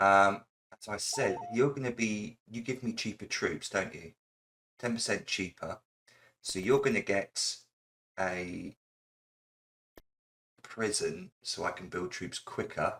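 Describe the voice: A man speaks at a low pitch with a fairly bright tone and ordinary pitch variation. The pace is slow, with long, frequent pauses.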